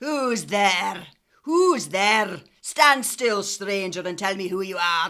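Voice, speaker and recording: In a put-on character voice, the speaker growls at a middle pitch and a very slow pace. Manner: menacing, demanding.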